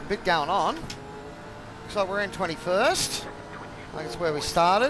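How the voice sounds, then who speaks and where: A man with an Australian accent speaks at a fairly slow pace, his loudness swinging widely. Audible room echo and noticeable background noise surround him. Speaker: sim racing streamer. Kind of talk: live gameplay commentary.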